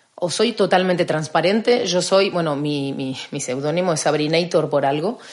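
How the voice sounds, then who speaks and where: With a normal speaking voice, a woman talks at a moderate pace and a fairly low pitch, using ordinary pitch variation. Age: 40s. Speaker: personal trainer. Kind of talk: casual chat.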